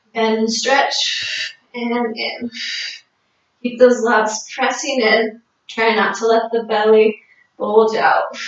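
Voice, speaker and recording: A woman speaks at a very slow pace in a monotone, flat way. Room echo is audible around her. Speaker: fitness instructor. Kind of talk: exercise class cueing. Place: home room. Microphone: camera far.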